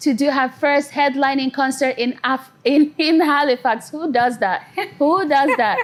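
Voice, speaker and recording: The speaker has an animated tone and ordinary pitch variation. The pace is fairly slow. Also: woman. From Nigeria. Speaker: singer-songwriter. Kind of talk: interview.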